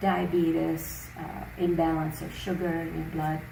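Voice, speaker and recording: A woman speaks with audible room echo. Noticeable background noise is also present. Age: 70s. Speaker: natural health teacher. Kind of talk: interview. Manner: hesitant fillers.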